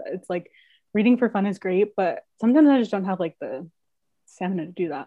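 A woman speaks at a fairly quick pace in an ordinary speaking voice. Her pitch is medium and her intonation lively. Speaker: student peer advisor, podcast host. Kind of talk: casual interview chat.

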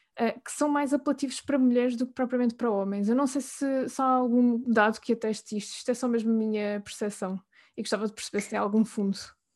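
Against a quiet background, a woman with a European Portuguese accent talks at a very fast pace with fairly even intonation. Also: fairly high pitch for a woman. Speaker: podcast host. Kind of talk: interview.

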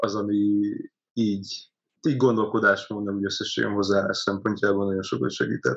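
Speaking at a moderate pace, this man has a normal speaking voice. His pitch is fairly low and his intonation fairly even. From Hungary, Karcag (Great Plain). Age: 20s. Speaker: startup community founder. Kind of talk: interview.

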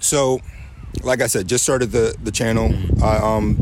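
A man's fairly low voice, fairly quick and lively in intonation, with noticeable background noise and audible room echo. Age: 30s. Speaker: rapper and military member. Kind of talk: casual interview. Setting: live music event.

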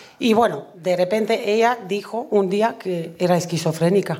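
Amid audible room echo, a woman speaks at medium pitch with ordinary pitch variation. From Romania. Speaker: comedian. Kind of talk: live comedy storytelling. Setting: stage with audience.

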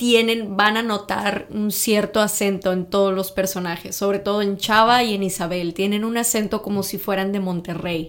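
A woman speaks in an unremarkable speaking voice at a moderate pace, her medium pitch showing ordinary pitch variation. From Mexico, Tamaulipas (north). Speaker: podcast co-guest, native Spanish speaker. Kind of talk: casual chat.

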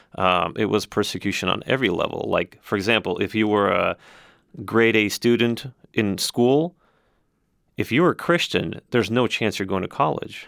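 On a very clean recording with a silent background, a man uses a normal speaking voice, fairly low in pitch, with lively intonation at a moderate pace. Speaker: nonprofit civic organization host. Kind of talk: interview.

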